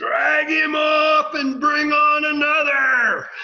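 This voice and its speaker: Shouting loudly in a put-on character voice, a man speaks at a very slow pace with an extremely high pitch. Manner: loud yell, heckling.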